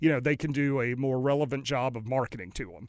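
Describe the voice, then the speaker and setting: On a very clean recording with a silent background, a man with an American accent uses a normal speaking voice at a fairly high pitch and a moderate pace. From North Carolina. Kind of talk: interview.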